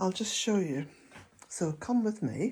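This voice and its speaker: Somewhat breathy and dark, mellow in tone, a woman's voice comes through on a very clean recording with a silent background. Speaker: vlogger, smallholder. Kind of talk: casual vlog talk to camera. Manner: slow.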